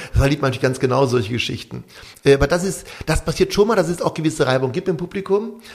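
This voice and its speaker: With noticeable background noise, a man speaks very fast in a fairly high pitch with lively intonation. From western Germany. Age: 50s. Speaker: theatre director and conductor. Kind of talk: interview.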